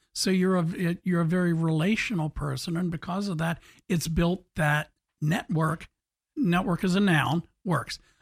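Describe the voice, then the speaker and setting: At a moderate pace, a man with a high voice speaks with ordinary pitch variation, the sound dry and close with no echo on a very clean recording with a silent background. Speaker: radio host. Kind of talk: casual interview. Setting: studio.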